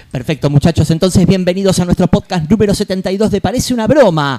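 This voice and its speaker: In a dry, close sound with no echo, a man speaks with a dark, mellow tone. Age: 40s. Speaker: podcast host. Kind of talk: casual chat.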